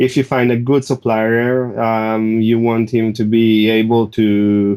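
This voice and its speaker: On a very clean recording with a silent background, a man speaks. He has a non-native accent and keeps a fairly slow pace. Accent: foreign. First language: not English. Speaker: ecommerce seller. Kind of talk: podcast interview. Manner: halting, many fillers.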